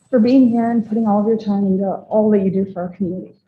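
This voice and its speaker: A woman with an American accent has a fairly high, somewhat breathy voice and a dark, mellow tone. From US West Coast, Ojai, California. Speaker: public commenter, parent. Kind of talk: public comment at board meeting. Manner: halting.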